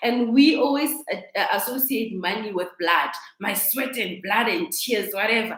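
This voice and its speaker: A woman's lively, fairly high voice at a moderate pace, with audible room echo. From South Africa, Kimberley. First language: a South African language. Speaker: life coach. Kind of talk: live stream talk. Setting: live video stream. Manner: halting. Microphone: laptop.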